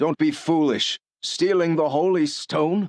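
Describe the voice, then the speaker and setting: Putting on a high-pitched character voice, a man speaks at a fairly slow pace in a dry, close recording with no echo. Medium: video game.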